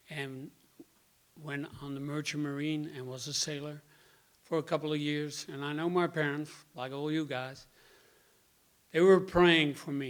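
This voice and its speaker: A man with a Dutch accent talks at a fairly slow pace. His pitch is fairly high and his intonation fairly even. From Netherlands (Rotterdam). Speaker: member giving personal testimony. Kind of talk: testimony.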